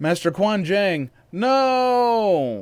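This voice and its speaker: In a very clean recording with a silent background, a man does a put-on character voice at a high pitch with very wide pitch swings. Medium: read story.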